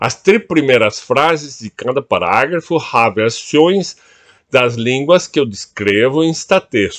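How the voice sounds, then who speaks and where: At a very slow pace and in a quiet background, a man with a Portuguese accent speaks at a fairly high pitch, his voice swinging very widely up and down. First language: Portuguese (speaking German). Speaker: writer on language. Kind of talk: reading aloud of own multilingual essay. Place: home room. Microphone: webcam.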